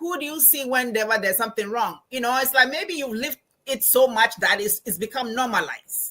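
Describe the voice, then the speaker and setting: A woman with a Ghanaian accent speaks in a raised, projected voice with a bright, sharp tone and high pitch. Her tone is animated and her pace fairly quick. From Ghana, Accra. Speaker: professor and financial coach. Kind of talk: interview. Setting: live stream.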